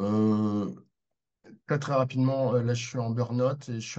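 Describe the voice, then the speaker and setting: A man's voice sits at a medium pitch as he talks at a moderate pace. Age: 60s. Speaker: participant asking questions. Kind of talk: Q&A question. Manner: hesitant, many fillers.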